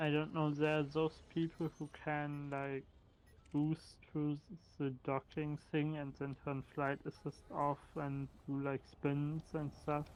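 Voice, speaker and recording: At a very slow pace, a man speaks at a fairly high pitch in monotone, flat intonation. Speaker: fellow gamer on voice chat. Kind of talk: casual chat. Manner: halting, stuttering.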